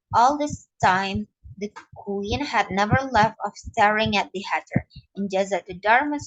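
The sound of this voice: The clip has an unforced reading voice. The background is quiet.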